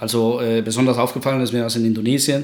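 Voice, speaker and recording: With a Spanish accent, a man speaks at medium pitch with fairly even intonation, amid audible room echo and noticeable background noise. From Guatemala. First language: Spanish (speaking German). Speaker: energy researcher. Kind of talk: podcast interview. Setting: home study.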